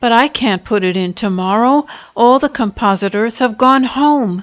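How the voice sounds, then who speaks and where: A woman's shaky, put-on character voice, fairly high in pitch with ordinary pitch variation, at a moderate pace. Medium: read story. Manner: meek, quavering.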